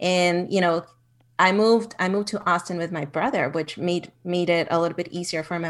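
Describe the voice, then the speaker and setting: Speaking with a Spanish accent, a woman keeps a fairly quick pace and fairly even intonation. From Mexico, Ciudad Juarez border town. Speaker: executive assistant. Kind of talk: interview.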